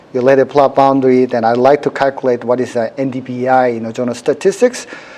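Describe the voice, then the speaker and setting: Noticeable background noise behind a man talking at a fairly quick speed in a medium pitch. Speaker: university professor teaching a workshop. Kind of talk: live software demonstration workshop. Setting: workshop room with audience. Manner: fast; many fillers like 'you know'.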